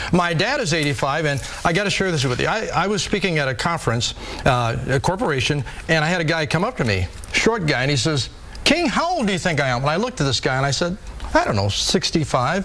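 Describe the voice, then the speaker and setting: A man talks at a very fast pace with very wide pitch swings. Noticeable background noise runs underneath. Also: fairly high pitch for a man. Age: 50s. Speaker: fitness trainer and author. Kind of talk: TV interview. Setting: TV studio. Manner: animated.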